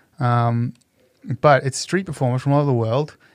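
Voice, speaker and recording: This man talks at a fairly quick pace. He has a plain, everyday voice of medium pitch. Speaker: street performer and entertainer. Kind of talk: casual interview chat.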